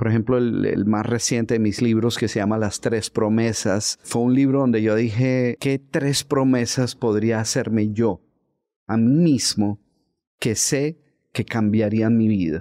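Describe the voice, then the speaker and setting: A man with a medium pitch and a dark, mellow tone speaks at a fairly slow pace with fairly even intonation and very even loudness. The background is quiet. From Colombia, Bogotá. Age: 60s. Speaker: author and motivational speaker. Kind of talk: interview conversation. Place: studio. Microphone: studio mic.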